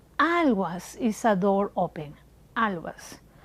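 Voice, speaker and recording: A woman speaks with a strong Peruvian accent. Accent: heavy Peruvian Spanish. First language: Spanish. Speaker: shoemaker. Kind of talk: interview. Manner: halting non-native English.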